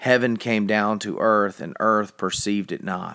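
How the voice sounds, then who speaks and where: At a fairly slow pace, a man talks in a plain, everyday voice with a fairly low pitch. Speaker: devotional reader. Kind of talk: reading aloud devotional, then fervent prayer. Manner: solemn, reverent, earnest; slow, fervent, heartfelt in prayer.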